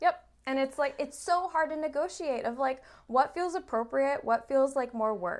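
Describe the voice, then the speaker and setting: Loud and animated, a woman speaks at a moderate pace with a high pitch and ordinary pitch variation. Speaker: therapist. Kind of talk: casual chat.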